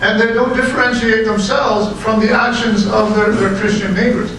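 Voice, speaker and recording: A man speaks with a high pitch and fairly even intonation. Light background noise and audible room echo are present. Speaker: preacher. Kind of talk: sermon. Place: hall.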